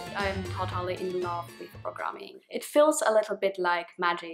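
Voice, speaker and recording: Clear music plays in the background. A woman with a non-native accent speaks at a fairly slow pace. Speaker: programmer. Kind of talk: casual talk to camera. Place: home room.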